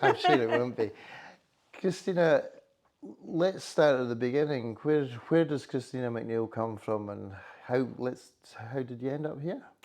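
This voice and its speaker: At a fairly slow pace with long, frequent pauses, a man with a Highland Scottish accent speaks at a medium pitch with ordinary pitch variation. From Scottish Highlands. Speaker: chamber of commerce chief executive. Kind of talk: interview. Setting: hotel.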